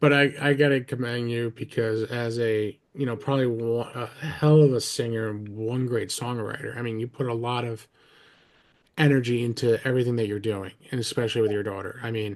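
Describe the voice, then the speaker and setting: Fairly quick and fairly even in intonation, a man with a New Jersey accent speaks at medium pitch. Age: 40s. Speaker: podcast host. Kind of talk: casual interview chat.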